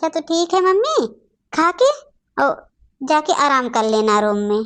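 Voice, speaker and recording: Using a cartoonish character voice, a woman speaks at a high pitch and a moderate pace, with very wide pitch swings and very even loudness. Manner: outspoken.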